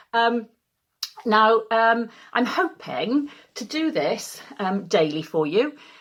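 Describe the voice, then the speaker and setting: In a Welsh accent, a woman talks at a very slow pace and a fairly high pitch, with very wide pitch swings and long, frequent pauses. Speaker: community choir leader. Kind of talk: casual address to choir members.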